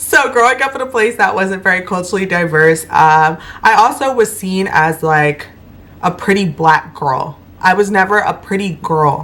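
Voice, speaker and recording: A woman speaks in an ordinary speaking voice at a medium pitch. Her pace is moderate and her intonation lively. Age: 20s. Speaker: mom, lifestyle vlogger. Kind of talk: casual talk to camera. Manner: conversational, reflective, many fillers.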